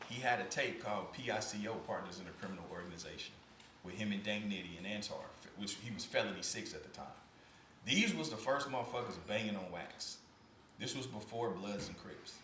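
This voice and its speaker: A man with an American accent, fairly low pitch and fairly quick pace, amid noticeable background noise and audible room echo. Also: ordinary pitch variation. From Kansas City, Missouri. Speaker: podcast host and former record label executive. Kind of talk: interview. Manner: relaxed conversational.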